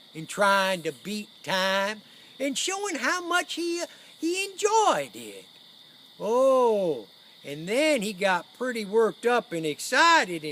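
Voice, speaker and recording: This is a put-on character voice pitched fairly high. It drawls along at a fairly slow pace. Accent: rural Western US. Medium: stage play. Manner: folksy, rambling, drawling.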